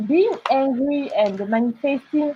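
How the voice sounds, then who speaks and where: A woman with a French accent speaks fairly slowly. Her high voice swings very widely in pitch. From France. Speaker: illustrator and artist. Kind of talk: interview. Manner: halting.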